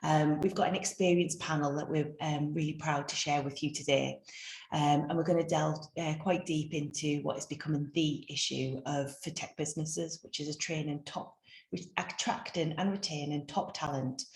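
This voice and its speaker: A woman speaks at a moderate pace in a very deep, low pitch, somewhat breathy, with fairly even intonation. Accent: North East England. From North East England. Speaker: webinar host, business consultant. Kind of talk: webinar introduction. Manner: hesitant, many fillers.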